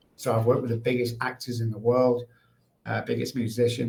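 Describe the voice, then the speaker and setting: A man with a Mancunian accent and a medium pitch talks in a monotone, flat way, his tone dark and mellow and somewhat breathy. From England, Manchester. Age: 60s. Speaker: addiction recovery expert. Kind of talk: podcast interview.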